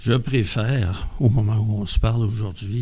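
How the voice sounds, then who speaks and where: This man's voice is fairly low in pitch and somewhat breathy, with a dark, mellow tone. His intonation stays fairly even, and audible room echo surrounds it. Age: 70s. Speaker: member of a mental health community group. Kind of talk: podcast testimony. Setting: around a table with group.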